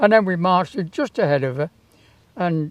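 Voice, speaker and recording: The speaker has a British accent and keeps a moderate pace. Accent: British English, casual spoken. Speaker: town crier, former Yeoman Warder and sergeant major. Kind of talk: interview answer, anecdote about meeting the Queen.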